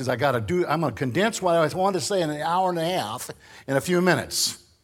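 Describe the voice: A man with a Northern American accent talks fast, with lively intonation and a fairly high pitch.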